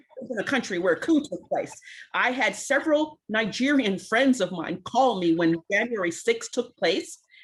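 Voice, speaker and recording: A woman with a New York accent speaks in a fairly high voice, her pitch swinging very widely. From US Northeast, Brooklyn, New York. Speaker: community advocate. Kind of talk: roundtable discussion. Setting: video call. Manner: fast.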